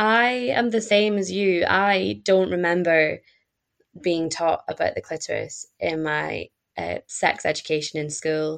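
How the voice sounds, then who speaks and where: A woman in a Scottish accent at a fairly slow pace, against a quiet background. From Scotland. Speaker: student and pleasure activist.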